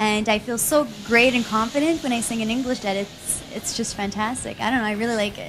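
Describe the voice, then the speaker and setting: Over music in the background, a woman with a Quebec accent talks at a fairly quick pace with hardly any pauses, her fairly high voice keeping a fairly even intonation. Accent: French-Canadian accent in English. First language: French. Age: 20s. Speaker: pop singer. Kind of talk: TV interview.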